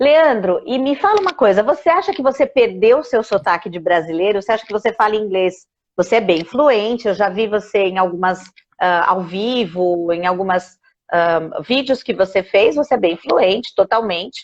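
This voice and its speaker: A woman's ordinary speaking voice at a medium pitch, moderate in pace and lively in intonation. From Brazil. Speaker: English teacher. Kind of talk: casual interview. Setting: Instagram live video call.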